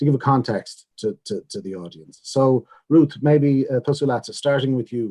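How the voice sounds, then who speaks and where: A man's dark, mellow voice comes at a moderate pace with a dry, close sound with no echo. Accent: Irish Midlands. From Ireland, Longford. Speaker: panel chair. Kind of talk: panel moderation. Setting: zoom webinar.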